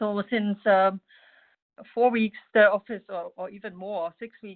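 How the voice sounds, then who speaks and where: A woman with a German accent speaks fairly slowly at a medium pitch, with fairly even intonation. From Germany. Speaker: mosaic artist and expat spouse. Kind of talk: personal testimony in webinar. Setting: video call webinar. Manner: halting, many fillers.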